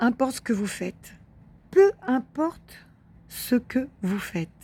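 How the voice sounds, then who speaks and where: The tone is dark and mellow, somewhat breathy. Delivery is very slow, with very wide pitch swings. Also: woman. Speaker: spiritual wellbeing video host. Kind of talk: monologue to camera, spiritual advice. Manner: hesitant, many fillers and repetitions.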